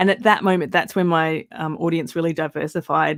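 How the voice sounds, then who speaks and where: A woman talks at a fairly quick pace with a fairly low pitch. The recording is very clean and dry, close with no echo, over a silent background. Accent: Australian. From Australia. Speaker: podcaster. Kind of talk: casual chat. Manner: hesitant, many ums.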